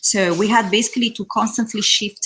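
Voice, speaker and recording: With a non-native accent, a woman speaks at a moderate pace. Her tone is bright and sharp, and her pitch variation is ordinary. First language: not English. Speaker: hospitality trainer. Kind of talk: panel discussion.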